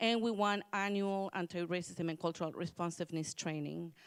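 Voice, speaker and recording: A woman with an ordinary speaking voice talks at fairly low pitch with ordinary pitch variation, in a very clean recording with a silent background and a dry, close sound with no echo. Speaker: commission workgroup presenter. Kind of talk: public hearing presentation.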